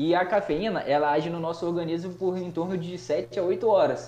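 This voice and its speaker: Speaking fairly quickly, a man keeps his voice high in pitch. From Brazil, Espírito Santo (Cachoeiro). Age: 20s. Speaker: chemistry teacher and nutritionist. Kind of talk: casual chat.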